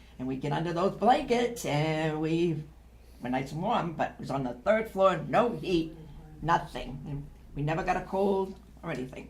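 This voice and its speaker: An American accent is heard at a moderate pace, with noticeable background noise. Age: 80s+. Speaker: daughter interviewee. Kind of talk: interview reminiscence.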